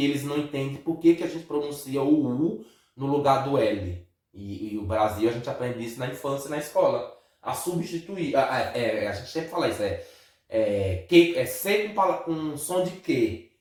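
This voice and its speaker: A fairly high-pitched man's voice with lively intonation at a moderate pace, plus audible room echo. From Brazil. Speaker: vlogger. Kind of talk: casual chat.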